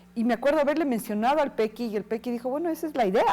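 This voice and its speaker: A woman talks at a very fast pace with lively intonation. Her pitch is fairly high, her tone dark and mellow. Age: 60s. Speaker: actress and cultural manager. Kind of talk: interview. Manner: hesitant, many fillers.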